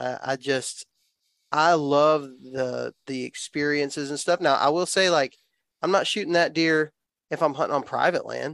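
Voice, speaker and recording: In a Southern US accent, a man with a fairly high pitch talks at a moderate pace with fairly even intonation, the sound dry and close with no echo on a very clean recording with a silent background. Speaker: outdoor YouTuber and hunter. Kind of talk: casual chat.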